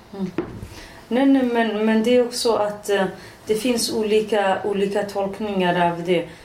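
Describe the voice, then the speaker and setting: A woman at medium pitch talks at a fairly slow pace with fairly even intonation, with audible room echo and noticeable background noise. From Iranian Kurdistan. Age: 40s. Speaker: politician. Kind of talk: casual chat. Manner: halting.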